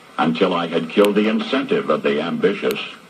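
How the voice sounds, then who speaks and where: Noticeable background noise behind a man, moderately paced, with an American accent. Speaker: radio broadcaster. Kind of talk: radio commentary monologue.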